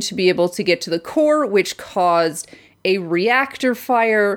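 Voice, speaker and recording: A woman's medium-pitched voice with lively intonation at a fairly slow pace, in a very clean recording with a silent background. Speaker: podcast co-host. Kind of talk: casual chat reviewing TV. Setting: home recording. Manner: loud; animated, frequent laughing and swearing.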